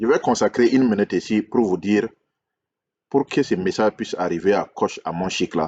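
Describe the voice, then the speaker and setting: The pace of this man's speech is moderate. He talks at a fairly low pitch. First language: English (speaking French). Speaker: relationship coach, YouTuber. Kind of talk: video monologue, critique and subscribe appeal. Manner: hesitant, repetitive.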